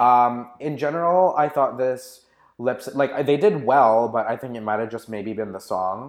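In a Canadian accent, a man with a plain, everyday voice speaks at a medium pitch and a fairly slow pace, with ordinary pitch variation. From Canada. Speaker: podcast co-host. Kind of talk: casual chat.

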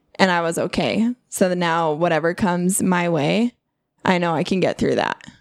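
Recorded very cleanly with a silent background and a dry, close sound with no echo, a woman with a normal speaking voice talks at a fairly low pitch and moderate pace with fairly even intonation. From Utah (born in Alaska). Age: 30s. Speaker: coworker guest. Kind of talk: casual chat.

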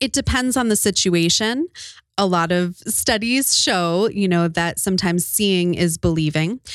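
In an ordinary speaking voice, a woman talks at a medium pitch and moderate pace, with ordinary pitch variation and very even loudness. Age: 30s. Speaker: pregnancy center worker. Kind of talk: interview.

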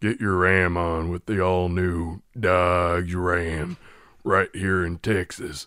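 A man puts on a character voice, very deep and low in pitch, speaking at a very slow pace. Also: very clean recording, silent background. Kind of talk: advertising voiceover.

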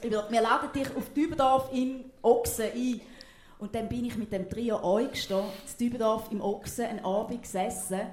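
A woman with an eastern Swiss accent speaks at a moderate pace in a fairly high pitch with fairly even intonation. Noticeable background noise and audible room echo are present. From eastern Switzerland, Thurgau. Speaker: TV presenter. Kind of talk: casual stage interview.

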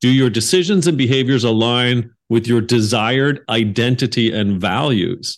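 A man with a Canadian accent and a normal speaking voice, medium in pitch, with very even loudness, ordinary pitch variation, hardly any pauses and a moderate pace. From Canada. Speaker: podcast host. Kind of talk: interview.

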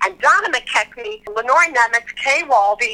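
With noticeable background noise behind her, a woman speaks at a high pitch with lively intonation. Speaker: Broadway ensemble performer. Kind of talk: casual interview chat.

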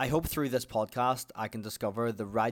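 Speaking with an Irish accent, a man keeps his intonation fairly even. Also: very clean recording, silent background. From Ireland. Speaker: podcast host. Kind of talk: scripted-style monologue, personal storytelling.

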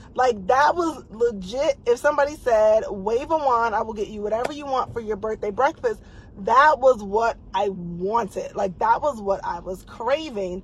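Fairly high-pitched, a woman speaks with an animated tone and lively intonation at a moderate pace, with hardly any pauses and noticeable background noise. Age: 40s. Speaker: podcast host and fitness coach. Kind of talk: casual livestream talk. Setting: Facebook Live video stream.

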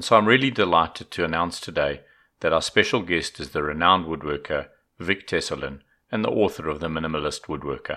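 Bright, sharp in tone and ordinary in pitch variation, the voice runs at a very fast pace on a very clean recording with a silent background. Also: man, very deep, low pitch for a man. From South Africa. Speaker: podcast host, book reviewer. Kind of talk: scripted book review; casual interview.

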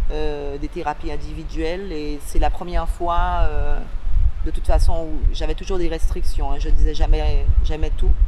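A woman is heard with audible room echo. There is noticeable background noise as well. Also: moderate pace. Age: 40s. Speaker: person with bipolar disorder sharing experience. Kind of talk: testimony. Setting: outdoors on a beach. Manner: halting.

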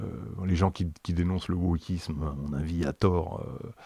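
Recorded very cleanly against a silent background, a man talks at a fairly slow pace with a very deep, low pitch and fairly even intonation, the sound dry and close with no echo. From France. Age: 60s. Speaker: activist, former heroin user. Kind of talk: testimony. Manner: halting, many repetitions and fillers.

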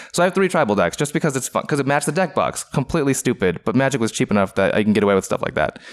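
A man with an American accent talks at a very fast pace, his medium pitch making very wide swings. His loudness stays very even, and vocal fry runs through his voice. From US Pacific Northwest, Renton, Washington. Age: 30s. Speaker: card game player. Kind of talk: casual interview.

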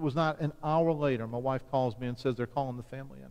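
In an ordinary speaking voice, a man talks at a fairly high pitch that varies normally. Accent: American. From US South, Chalmette near New Orleans, Louisiana. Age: 50s. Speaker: visiting pastor and church mission strategist. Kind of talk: sermon. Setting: church service.

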